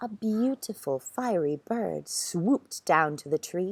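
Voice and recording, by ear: Lively intonation throughout a reading aloud in a natural voice.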